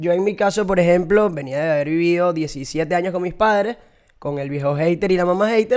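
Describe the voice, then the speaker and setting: A high-pitched man with a Venezuelan accent at a fairly quick pace. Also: ordinary pitch variation. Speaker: comedy podcast co-host. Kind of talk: casual comedic chat.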